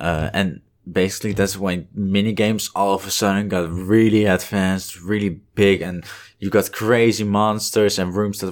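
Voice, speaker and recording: Here a man with a Dutch accent and a very deep, low pitch speaks at a moderate pace. The recording is very clean, with a silent background. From Netherlands (northern Holland). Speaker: game development student. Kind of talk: casual chat.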